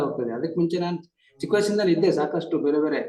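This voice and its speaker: A man speaks at a fairly high pitch for a man with ordinary pitch variation. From Karnataka, Chikkamagaluru. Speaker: district judge sharing meditation experience. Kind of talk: testimony. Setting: video call.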